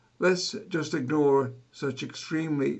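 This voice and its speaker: Speaking very slowly, a man delivers his words. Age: 80s+. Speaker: traffic safety scientist. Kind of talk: scripted talk to camera. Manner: formal.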